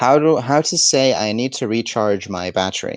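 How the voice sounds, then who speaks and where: With an Egyptian accent, a man speaks in lively intonation, the sound dry and close with no echo. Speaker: language teacher. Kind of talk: live Q&A lesson. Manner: slow.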